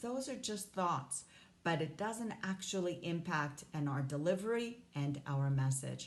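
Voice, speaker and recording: With audible room echo, a woman of fairly low pitch speaks at a fairly slow pace, her voice making very wide pitch swings. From Hong Kong. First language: not English (English is third language). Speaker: life coach. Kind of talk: motivational talk to camera.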